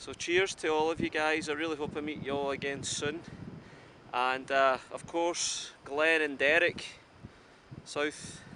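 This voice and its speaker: A man speaks with a Scottish accent, his pitch fairly high and his tone bright and sharp. His intonation is monotone and flat, at a fairly slow pace with long, frequent pauses. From Scotland. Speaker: outdoor vlogger. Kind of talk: casual vlog talk to camera. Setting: outdoors on a mountain.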